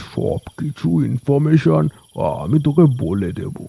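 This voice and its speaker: Here is a cartoonish character voice at a fairly slow pace. The sound is dry and close, with no echo. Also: man. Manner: chummy, chuckling.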